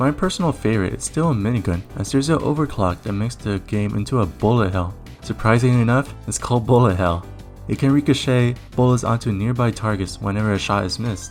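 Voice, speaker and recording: Music plays behind a man speaking at a very fast pace. His pitch is fairly low, with ordinary variation. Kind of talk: video game review narration.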